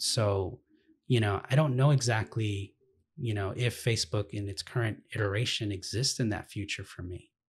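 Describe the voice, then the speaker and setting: A somewhat breathy man's voice, fairly low in pitch, at a moderate pace with ordinary pitch variation. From Los Angeles, US. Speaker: activist, nonprofit director; interview guest. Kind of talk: interview. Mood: calm, thoughtful. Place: home room.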